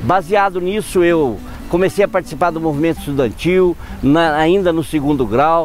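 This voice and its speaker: Music plays behind a man whose fairly high voice moves through ordinary pitch variation. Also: moderate pace. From southern Minas Gerais, Brazil (rural interior), then São Paulo from age 13. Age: 50s. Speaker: politician, former mayor and shop owner. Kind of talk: autobiographical testimony.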